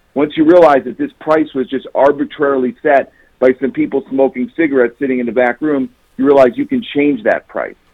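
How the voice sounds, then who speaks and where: Speaking at a fairly quick pace, a man has an ordinary speaking voice pitched fairly high, with ordinary pitch variation. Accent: American. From Chicago, US Midwest. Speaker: author. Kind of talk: interview. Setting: phone call.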